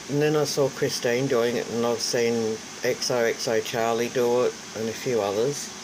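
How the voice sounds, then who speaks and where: A woman with an Australian accent speaks at a fairly slow pace and a very deep, low pitch against noticeable background noise. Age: 60s. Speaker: craft vlogger. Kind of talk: casual vlog talk.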